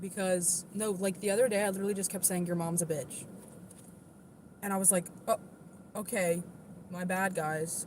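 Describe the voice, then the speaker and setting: A woman with an American accent speaks at a moderate pace in a medium-pitched, somewhat breathy voice, her intonation fairly even and broken by long, frequent pauses. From US East Coast. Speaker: livestreamer with Tourette's, singer-songwriter. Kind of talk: casual livestream chat. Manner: occasional involuntary vocal tics.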